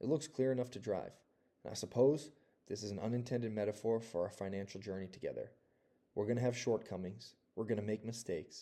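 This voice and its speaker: In an American accent, a man with a dark, mellow tone and fairly low pitch talks at a fairly quick pace with fairly even intonation. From US. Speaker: personal finance youtuber. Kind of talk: personal vlog monologue. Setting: outdoors, shoveling snow.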